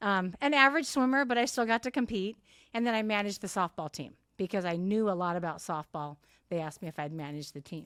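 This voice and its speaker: Speaking very fast in a Californian accent, a woman at a medium pitch makes very wide pitch swings, her dry, close sound free of echo on a very clean recording with a silent background. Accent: General American (Californian). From Southern California (Santa Ana). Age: 60s. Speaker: masters athlete, retired teacher. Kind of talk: interview conversation.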